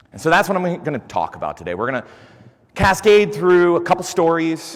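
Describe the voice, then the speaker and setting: A man speaks loudly. His tone is animated. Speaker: conference speaker. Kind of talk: conference talk. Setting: stage with audience.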